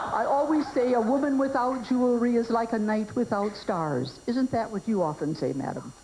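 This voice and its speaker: Over noticeable background noise, a woman speaks with lively intonation. She barely pauses. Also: fairly high pitch for a woman, moderate pace. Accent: Minnesota. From Minnesota, US. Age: 60s. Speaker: comedian. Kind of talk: stand-up.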